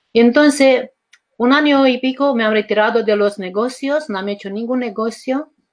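A woman's fairly high voice in a Romanian accent, with fairly even intonation. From Romania, rural village. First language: Romanian (speaking Spanish). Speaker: life coach and author. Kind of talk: interview. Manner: halting.

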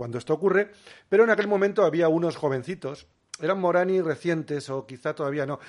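A man speaks at a fairly quick pace with ordinary pitch variation. He has a plain, everyday voice. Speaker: biologist and documentary filmmaker. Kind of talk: interview conversation.

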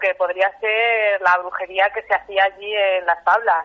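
Keeping her intonation fairly even, a woman talks at a moderate pace. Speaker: local folklore expert. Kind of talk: interview.

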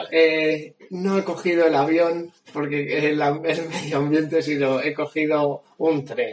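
This man talks at a very slow pace and a fairly high pitch, with hardly any pauses and monotone, flat intonation. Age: young. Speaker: podcast co-host. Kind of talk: casual chat. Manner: halting.

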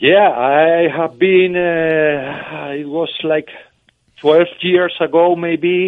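In a Spanish accent, a man with a high pitch speaks at a very slow pace with monotone, flat intonation. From Spain. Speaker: fan club leader. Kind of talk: phone interview. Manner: halting.

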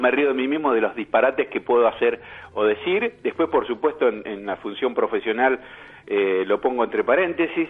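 Here is a plain, everyday voice from a man at a medium pitch. He speaks at a moderate pace with lively intonation. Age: 50s. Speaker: journalist and social psychologist. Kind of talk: radio interview.

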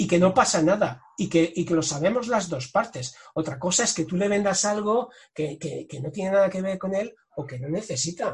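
In a high-pitched voice, a man talks at a moderate pace with lively intonation. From Catalonia, Spain (Tarragona coast). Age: 40s. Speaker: sales director and author. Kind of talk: interview.

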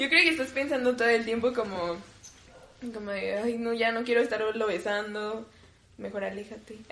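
Over noticeable background noise, a woman with a fairly high voice and ordinary pitch variation speaks with long, frequent pauses. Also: moderate pace. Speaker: podcast guest. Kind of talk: casual chat.

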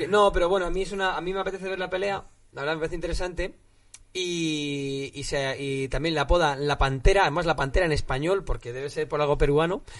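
Talking at a very fast pace, this man goes quickly. His voice is high in pitch. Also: ordinary pitch variation. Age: 20s. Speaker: MMA podcast co-host. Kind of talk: casual chat.

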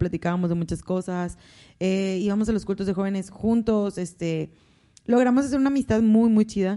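Ordinary pitch variation and a moderate pace in a woman's dark, mellow tone. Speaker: host's wife. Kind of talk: casual chat.

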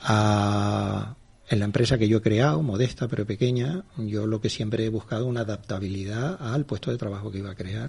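Fairly low, somewhat breathy male voice at a moderate pace, its pitch varying in an ordinary way. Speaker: media executive. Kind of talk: radio interview.

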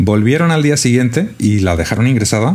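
Amid noticeable background noise, a man with a medium pitch talks at a moderate pace, his pitch swinging very widely. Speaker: podcast co-host. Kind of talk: casual chat.

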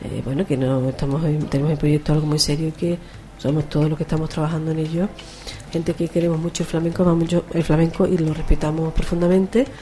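A woman's very deep, low voice at a very fast pace, fairly even in intonation, over noticeable background noise. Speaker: flamenco singer and radio host. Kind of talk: casual radio chat.

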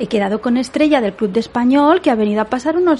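Over noticeable background noise, a woman speaks at a fairly quick pace with a fairly high pitch and lively intonation. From Catalonia, Spain. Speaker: podcast host and Spanish tutor. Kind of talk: lecture; casual chat.

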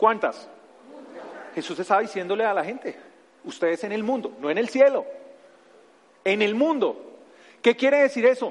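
With a Bogotá accent, a man speaks in a high pitch and an animated tone, his intonation lively and his moderate pace broken by long, frequent pauses. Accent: Bogotá Colombian Spanish (rolo). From Bogotá, Colombia. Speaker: pastor. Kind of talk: sermon. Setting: church.

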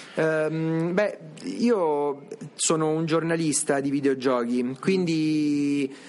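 A man with a fairly high pitch speaks very slowly, using ordinary pitch variation. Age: 40s. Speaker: museum director. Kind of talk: interview.

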